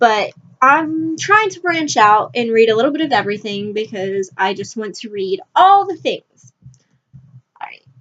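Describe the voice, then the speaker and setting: A woman speaks at a moderate pace in a high voice with very wide pitch swings. Her loudness swings widely too. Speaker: book vlogger. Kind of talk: casual vlog talk. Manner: halting, many fillers; rambling.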